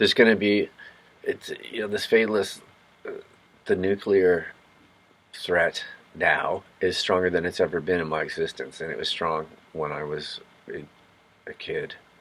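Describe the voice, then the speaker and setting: Over noticeable background noise, a man speaks at a moderate pace with big swings in loudness and long, frequent pauses. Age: 50s. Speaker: vlogger. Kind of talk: casual monologue. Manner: halting.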